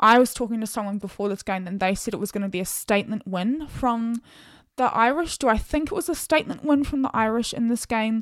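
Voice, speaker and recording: Speaking very fast, a woman with a fairly high pitch sounds animated and keeps ordinary pitch variation. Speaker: podcast host. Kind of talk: casual solo podcast monologue. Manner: chatty, animated.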